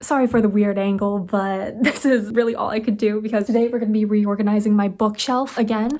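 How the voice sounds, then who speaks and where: Quiet and fairly high-pitched, a woman speaks at a fairly quick pace with hardly any pauses and a dark, mellow tone. Her intonation is fairly even on a very clean recording with a silent background. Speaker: book video creator. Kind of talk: casual vlog chat. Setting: at home late at night. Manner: talking quietly.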